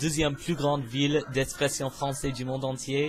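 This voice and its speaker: A man with an English accent and a fairly high pitch talks at a moderate pace over noticeable background noise. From US, Pennsylvania. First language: English (speaking French). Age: 20s. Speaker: university student, vlogger. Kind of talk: casual self-introduction vlog. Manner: hesitant, many filler sounds.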